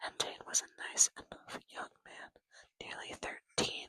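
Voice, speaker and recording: A woman is whispering. Her voice is breathy. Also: dry, close sound with no echo. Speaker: ASMR creator. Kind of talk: ASMR book reading. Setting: background game audio, poor microphone. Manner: whispered, breathy, with stutters.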